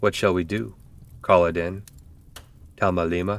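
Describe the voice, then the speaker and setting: Using a put-on character voice, a man speaks at a very deep, low pitch. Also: moderate pace. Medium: read story. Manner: stammering when upset.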